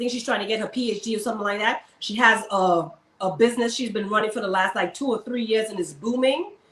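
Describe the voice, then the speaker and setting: A woman with a Caribbean accent talks at a very fast pace. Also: fairly high pitch for a woman, ordinary pitch variation. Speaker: army servicewoman and luxury shopper. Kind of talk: interview.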